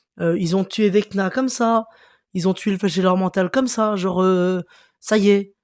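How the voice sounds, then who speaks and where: On a very clean recording with a silent background and a dry, close sound with no echo, a man speaks at a high pitch and a fairly slow pace. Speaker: youtuber, series reviewer. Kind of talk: casual video review. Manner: casual, hesitant with many fillers.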